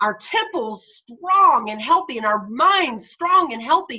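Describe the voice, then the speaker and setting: Animated and raised, a woman's projected voice has a bright, sharp tone and very wide pitch swings. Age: 60s. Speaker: faith speaker and entrepreneur. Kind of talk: faith interview.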